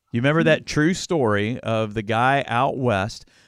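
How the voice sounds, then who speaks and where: A man's unremarkable speaking voice, medium in pitch, with ordinary pitch variation and a quiet background. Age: 50s. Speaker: podcast host, former youth pastor. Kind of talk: casual chat. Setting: video call from home.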